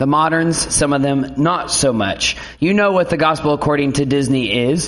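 Over noticeable background noise and audible room echo, a man with a fairly high voice talks at a moderate pace, with very even loudness and ordinary pitch variation. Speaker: pastor. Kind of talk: sermon. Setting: church.

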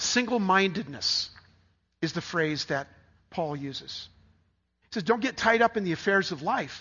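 Lively in intonation and high in pitch, a man talks at a moderate pace with long, frequent pauses. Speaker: pastor. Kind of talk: sermon. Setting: church. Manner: halting.

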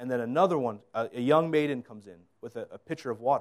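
Speaking very fast with an American accent, a man with a fairly high pitch and ordinary pitch variation comes through in a very clean recording with a silent background. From northeastern US. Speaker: lay preacher. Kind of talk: sermon. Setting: church with microphone. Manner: halting.

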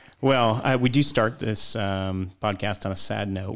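On a very clean recording with a silent background, a man with a plain, everyday voice talks at a moderate pace and a fairly low pitch. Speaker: podcast host and pastor. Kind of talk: casual chat.

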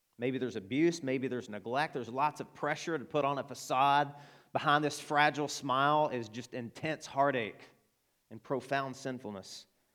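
At a moderate pace, a man speaks with an Arkansas accent at a medium pitch, his intonation fairly even. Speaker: pastor. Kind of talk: sermon. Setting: church.

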